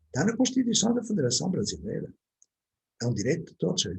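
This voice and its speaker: Talking at a very fast pace, a man with a European Portuguese accent shows vocal fry. His pitch swings very widely. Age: 70s. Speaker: educator. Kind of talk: online talk to parents.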